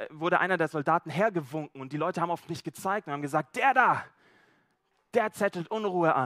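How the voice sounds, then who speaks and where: Talking at a fairly quick pace, a man with a high pitch has a relaxed, animated tone that is bright and sharp, recorded with a dry, close sound and no echo. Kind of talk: sermon with role-play storytelling. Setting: church. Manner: first-person storytelling as Zachaeus, animated, conversational and vivid; relaxed, informal, slightly halting with repeated words.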